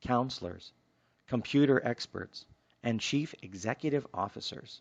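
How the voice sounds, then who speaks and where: A soft-spoken man at a medium pitch, with ordinary pitch variation, a fairly slow pace and a quiet background. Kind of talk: self-help book reading.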